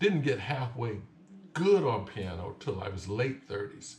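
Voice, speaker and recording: The voice is somewhat breathy and moves at a fairly slow pace. Room echo is audible. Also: man. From US South, Lake Charles, Louisiana. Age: 60s. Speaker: piano teacher. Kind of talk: tutorial.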